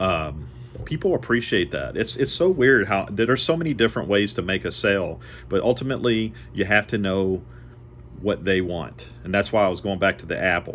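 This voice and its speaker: A man speaks at a fairly quick pace with vocal fry, a fairly low pitch, and very wide pitch swings. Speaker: door-to-door salesman. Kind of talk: casual educational monologue. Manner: fast; rambling with fillers.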